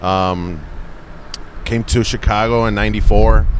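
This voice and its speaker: A man talks at a fairly slow pace. Noticeable background noise and audible room echo are present. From Mexico, Monterrey. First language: Spanish. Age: 40s. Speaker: comedian. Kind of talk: casual chat.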